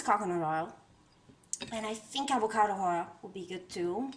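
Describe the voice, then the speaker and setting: A woman talks at a moderate pace in an Italian accent. Noticeable background noise runs behind her. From Italy. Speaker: home cook and tarot content creator. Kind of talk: cooking tutorial. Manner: casual, hesitant with fillers.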